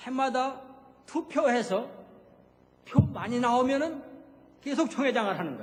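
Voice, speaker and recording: Amid noticeable background noise and audible room echo, a man speaks at an extremely high pitch with ordinary pitch variation, at a moderate pace broken by long, frequent pauses. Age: 70s. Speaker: retired missionary pastor. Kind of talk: sermon. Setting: church. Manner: conversational, with frequent filler sounds.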